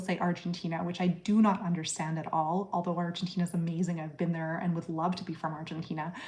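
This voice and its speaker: A woman talks at a fairly quick pace with a fairly low pitch. Her voice is somewhat breathy. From Canada. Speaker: psychiatrist. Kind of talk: live-stream Q&A. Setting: live stream. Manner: casual, many fillers (um, like).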